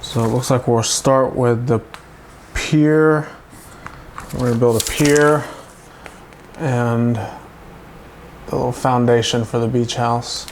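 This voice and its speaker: Speech moves at a very slow pace with long, frequent pauses against noticeable background noise. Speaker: toy reviewer. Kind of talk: live build tutorial. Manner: casual, chatty.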